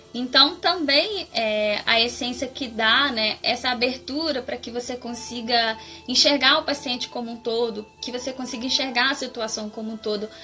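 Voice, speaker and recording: A high-pitched woman's voice at a moderate pace, with ordinary pitch variation, hardly any pauses, and music in the background. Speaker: floral therapy practitioner. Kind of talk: live stream talk.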